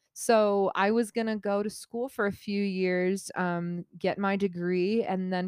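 Here is a woman with a plain, everyday voice. Her pitch sits in the middle range, and she keeps a moderate pace. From Colorado, US. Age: 20s. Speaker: podcast co-host. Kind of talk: casual chat.

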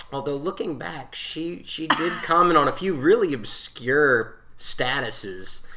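Fairly slow, lively speech in an American accent with big swings in loudness and hardly any pauses, plus audible room echo and noticeable background noise. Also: man, fairly high pitch for a man. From South Carolina, Newberry. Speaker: podcast guest, married husband. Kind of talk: casual storytelling.

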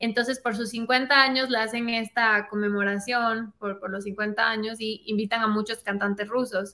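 A woman speaks at a fairly slow pace in a flat monotone, with hardly any pauses. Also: fairly high pitch for a woman. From Ecuador. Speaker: singer. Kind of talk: casual interview.

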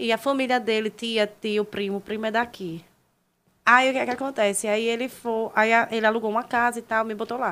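A woman talks at a fairly quick pace in a fairly high pitch, with fairly even intonation. It is an ordinary speaking voice on a very clean recording with a silent background. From Brazil, Maceió, Alagoas. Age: 20s. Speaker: social media personality. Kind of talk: casual chat.

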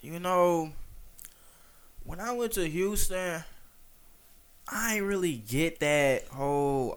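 Audible room echo is present. It colors this man's voice. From Detroit, east side. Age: 20s. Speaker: food critic content creator. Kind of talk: casual chat.

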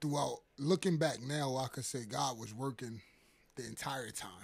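A man with a medium pitch and a New York accent speaks at a fairly slow pace, somewhat breathy, with ordinary pitch variation. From Harlem, New York. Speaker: guest sharing testimony. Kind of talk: testimony. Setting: church office.

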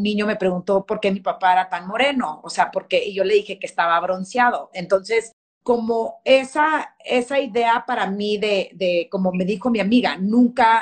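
Using an ordinary speaking voice, a woman talks at a moderate pace with hardly any pauses, a medium pitch and ordinary pitch variation. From Texas, El Paso. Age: 40s. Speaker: fashion magazine editor. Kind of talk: interview.

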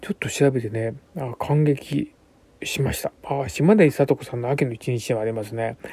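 A man speaks at a medium pitch and a moderate pace, his pitch varying in an ordinary way. His tone is dark and mellow and somewhat breathy. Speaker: bunraku puppeteer. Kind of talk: radio monologue. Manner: hesitant, many fillers.

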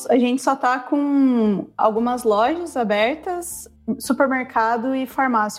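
A woman with an ordinary speaking voice talks at a fairly high pitch. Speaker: travel guest living abroad. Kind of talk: casual chat.

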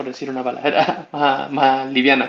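Through noticeable background noise, a man speaks at a medium pitch in a Chilean accent. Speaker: podcast host. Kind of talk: casual chat.

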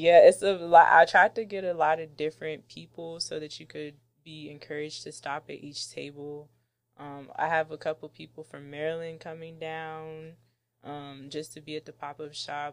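With an American accent, a woman speaks at a very deep, low pitch and a moderate pace. Her intonation stays flat and monotone while her loudness swings widely. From Washington DC, Jamaican-born. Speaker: candle business owner. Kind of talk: casual interview.

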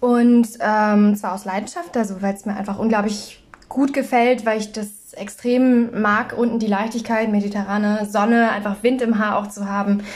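A woman speaks in a normal speaking voice at a moderate pace, her fairly high pitch held to a fairly even intonation. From northern Germany, North Frisia. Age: 20s. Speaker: podcast co-host. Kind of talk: casual chat.

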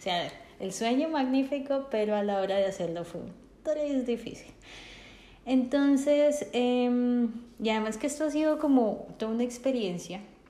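Audible room echo surrounds a woman speaking at a fairly slow pace. Her high pitch has a dark, mellow tone and ordinary variation. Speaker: podcast co-host. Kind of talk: casual chat.

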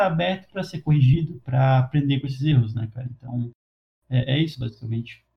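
A man's very fast, somewhat breathy voice at a medium pitch, with ordinary pitch variation. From Brazil. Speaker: podcast host. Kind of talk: casual chat.

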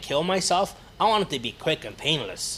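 Speaking with an Ontario accent, a man keeps a moderate pace and lively intonation. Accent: Canadian (Ontario). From Hamilton, Ontario, Canada. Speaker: actor and film producer. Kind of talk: casual interview chat.

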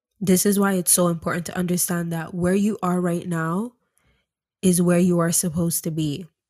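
A woman with a dark, mellow tone and fairly low pitch speaks in a monotone, flat intonation at a moderate pace, in a very clean recording with a silent background. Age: 20s. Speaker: spirituality and self-development podcast host. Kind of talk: motivational monologue.

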